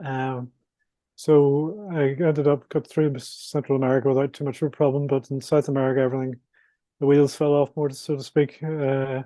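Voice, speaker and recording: A man's fairly high, monotone voice in a Northern Irish accent, flat in intonation and moderate in pace. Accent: Northern Irish (Belfast). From Northern Ireland, Belfast. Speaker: adventurer and author. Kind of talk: interview. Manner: halting, with repetitions and fillers.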